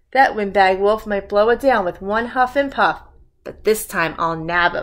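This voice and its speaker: In a put-on character voice, the speaker sounds gruff and growling at a moderate pace. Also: female-sounding voice, medium pitch for a woman. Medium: read story. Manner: growling, gruff.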